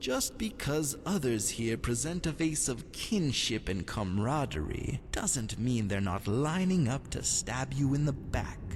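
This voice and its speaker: Using a put-on character voice at medium pitch, a man speaks fairly slowly with hardly any pauses over loud background noise. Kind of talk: aristocratic drawl. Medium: solo performance. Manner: languid, silky, insinuating.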